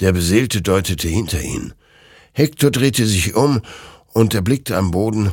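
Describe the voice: The passage is given as plain reading aloud.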